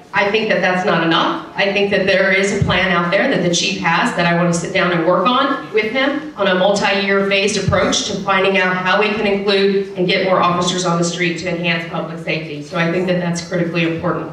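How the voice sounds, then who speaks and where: A woman with an American accent talks at a fairly quick pace and medium pitch, with fairly even intonation and hardly any pauses, over light background noise and audible room echo. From Texas. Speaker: city council member and candidate. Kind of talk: candidate debate speech. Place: hall.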